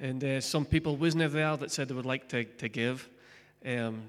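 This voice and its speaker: With a Scottish accent, the speaker keeps a moderate pace and a fairly even intonation. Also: man. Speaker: pastor. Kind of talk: sermon. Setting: church.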